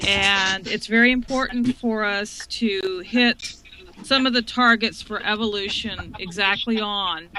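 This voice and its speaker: Speaking with a Texan accent, a woman has a bright, sharp tone and fairly high pitch. She goes at a fairly slow pace with fairly even intonation. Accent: Texan American English. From Texas. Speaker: web consultant, project founder. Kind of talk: live-stream panel introduction.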